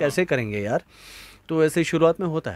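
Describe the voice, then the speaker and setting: Dry and close with no echo, the sound carries a man's normal speaking voice. He is fairly high in pitch and talks at a moderate pace. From India, Gujarat. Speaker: voice actor. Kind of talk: interview answer. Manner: conversational, relaxed.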